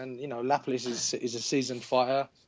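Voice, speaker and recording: Words come from this man at a very fast pace. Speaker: guest. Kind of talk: interview answer. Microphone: video call.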